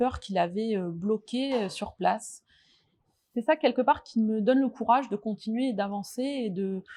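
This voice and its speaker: A woman speaks with a dark, mellow tone and a fairly high pitch. Her pitch varies in an ordinary way at a moderate pace. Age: 40s. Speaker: nurse. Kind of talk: testimony. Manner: hesitant, many fillers.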